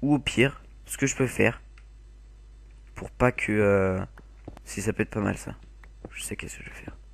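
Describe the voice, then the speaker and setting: A man talks with long, frequent pauses and big swings in loudness. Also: moderate pace. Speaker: gaming video creator. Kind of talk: gameplay commentary.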